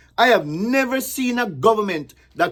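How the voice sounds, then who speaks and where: With a Jamaican accent, a man speaks at a fairly slow pace in an animated tone full of very wide pitch swings. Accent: Jamaican, with patois. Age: 60s. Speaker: political commentator. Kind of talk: political commentary, partly reading a list. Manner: reading, with hesitations; animated, emphatic.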